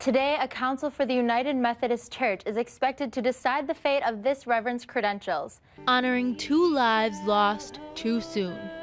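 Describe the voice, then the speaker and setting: Over music in the background, a woman with a high voice talks at a moderate pace with hardly any pauses and ordinary pitch variation. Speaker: TV news reporter. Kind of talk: TV news report.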